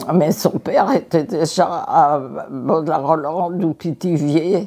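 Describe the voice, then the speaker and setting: A woman speaks in a fairly low pitch with a dark, mellow tone. Her pace is very slow. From Paris, France. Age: 80s+. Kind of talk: interview answer.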